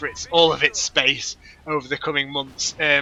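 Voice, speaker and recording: The speaker is a man. He talks with a northern English accent. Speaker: gaming commentator. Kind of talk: gameplay commentary. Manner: casual, rambling with fillers.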